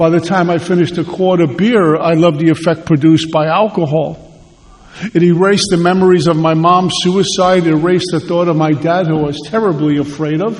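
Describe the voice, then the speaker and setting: A man speaks at a fairly quick pace in a New York accent, his pitch high and his intonation fairly even. Noticeable background noise runs under his voice. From Brooklyn, New York. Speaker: AA speaker. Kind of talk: testimony.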